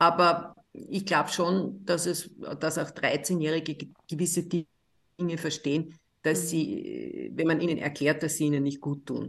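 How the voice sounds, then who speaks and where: Very slow and monotone, the speech comes in an Austrian accent with flat intonation throughout. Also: woman, fairly low pitch for a woman. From Austria, Linz. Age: 60s. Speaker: psychiatrist and author. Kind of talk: interview.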